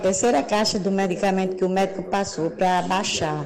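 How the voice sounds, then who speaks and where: Noticeable background noise and audible room echo fill the clip. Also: woman. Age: 60s. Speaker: listener asking a question. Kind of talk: voice message.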